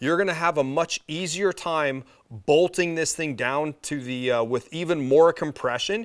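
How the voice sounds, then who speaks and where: A man speaks at a moderate pace with a fairly high pitch. The recording is very clean with a silent background and a dry, close sound with no echo. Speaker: company representative presenting product. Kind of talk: product presentation video. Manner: rambling, with fillers.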